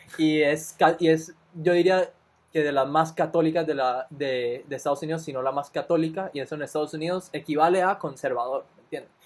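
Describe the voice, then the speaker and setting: Recorded very cleanly over a silent background, a man with a plain, everyday voice talks at a moderate pace and fairly high pitch, with fairly even intonation. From Costa Rica. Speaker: podcast co-host, recent university graduate. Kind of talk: casual chat.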